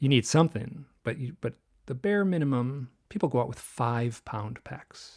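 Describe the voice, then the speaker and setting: An ordinary speaking voice goes at a moderate pace with lively intonation. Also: man, medium pitch for a man. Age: 60s. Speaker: author and illustrator. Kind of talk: interview conversation.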